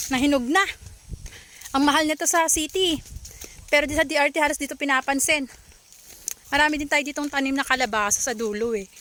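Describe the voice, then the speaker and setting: Using a raised, projected voice, a woman with a high pitch speaks at a fairly quick pace in an animated tone, with ordinary pitch variation and long, frequent pauses. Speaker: video blogger. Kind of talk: casual vlog narration. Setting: outdoors.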